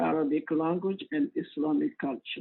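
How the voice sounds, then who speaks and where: Speaking at a fairly slow pace, a man with a West African accent has a high pitch and lively intonation. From Cote d'Ivoire. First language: Mandinka. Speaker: imam. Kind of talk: interview. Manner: halting.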